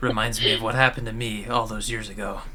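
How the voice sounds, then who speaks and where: A man puts on a character voice at a medium pitch, racing along at a very fast pace over clear background noise. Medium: actual play. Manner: mumbling to himself.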